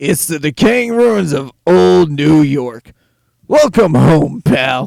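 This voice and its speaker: A man speaks in a put-on character voice with a fairly high pitch. His pace is very slow. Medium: read story. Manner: sarcastic, cocky.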